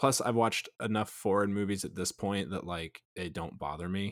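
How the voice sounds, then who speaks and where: Fairly low-pitched, a man speaks in a normal speaking voice at a moderate pace with ordinary pitch variation, the recording very clean with a silent background and a dry, close sound with no echo. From Missouri (rural). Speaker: podcast guest. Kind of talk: casual chat.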